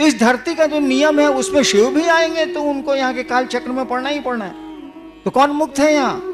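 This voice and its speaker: A man with a Bihari accent and an extremely high pitch, music in the background. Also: ordinary pitch variation, moderate pace. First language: Bhojpuri (speaking Hindi). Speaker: spiritual guru. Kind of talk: religious discourse.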